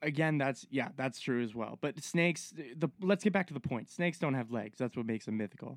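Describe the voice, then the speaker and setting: In a normal speaking voice, a man talks at a fairly high pitch and fairly quick pace with lively intonation and hardly any pauses, in a dry, close sound with no echo, on a very clean recording with a silent background. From Halifax, Nova Scotia, Canada. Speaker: forestry worker. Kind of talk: casual chat. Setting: bush camp.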